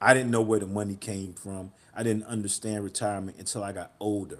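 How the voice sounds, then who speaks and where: A man is speaking. His pace is fairly quick. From North Carolina (Goldsboro), US South. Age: 50s. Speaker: former street hustler turned real estate investor. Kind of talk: interview. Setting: live online show. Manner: halting, many repetitions.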